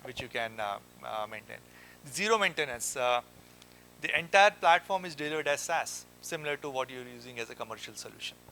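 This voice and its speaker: A man's fairly high voice, bright and sharp in tone, at a fairly quick pace with lively intonation and big swings in loudness. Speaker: company founder. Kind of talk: conference talk. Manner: fast; halting, many fillers.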